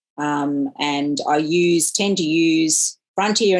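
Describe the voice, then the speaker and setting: Speaking in an Australian accent, a woman has a very deep, low pitch and fairly even intonation. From regional Australia. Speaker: professor and digital technology entrepreneur. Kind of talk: interview. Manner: hesitant with many fillers.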